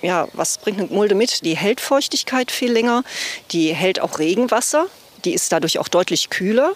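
At a moderate pace, a woman talks with a fairly high pitch and very wide pitch swings. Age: 50s. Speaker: club secretary, nursing school principal. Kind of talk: casual walking tour chat. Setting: outdoors.

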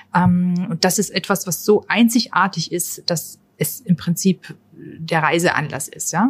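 Speaking very slowly with hardly any pauses, a woman uses a fairly low, somewhat breathy voice and ordinary pitch variation. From Austria, near Linz. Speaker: tourism marketing manager. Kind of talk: casual interview. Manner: hesitant with many fillers.

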